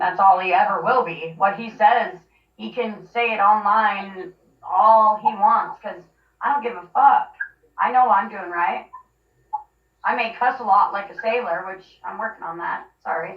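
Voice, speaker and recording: A woman with an unremarkable speaking voice talks at a fairly slow pace, her medium pitch showing ordinary variation while her loudness swings widely. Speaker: mother telling her family story. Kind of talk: interview.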